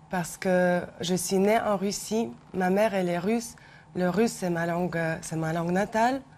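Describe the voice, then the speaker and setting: This woman talks at a moderate pace. Her medium pitch shows ordinary variation. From Ukraine. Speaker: researcher. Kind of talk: televised debate.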